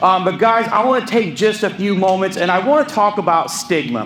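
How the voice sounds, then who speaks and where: A man's animated, high-pitched voice with ordinary pitch variation, amid audible room echo and noticeable background noise. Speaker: peer recovery specialist and pastor. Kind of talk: public talk. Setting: stage with audience.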